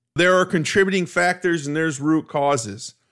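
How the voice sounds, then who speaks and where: A man with an unremarkable speaking voice, fairly high in pitch with ordinary pitch variation, talks at a moderate pace on a very clean recording with a silent background. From US Midwest, Cleveland, Ohio. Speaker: sports podcast host. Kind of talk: solo sports analysis monologue.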